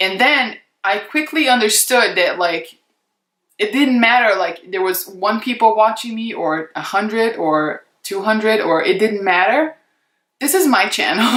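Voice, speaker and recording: A woman's fairly high voice with lively intonation, a fairly slow pace, and a non-native accent. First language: not English. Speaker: beauty YouTuber, former model. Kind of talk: casual vlog chat to camera. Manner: unscripted, conversational with many fillers.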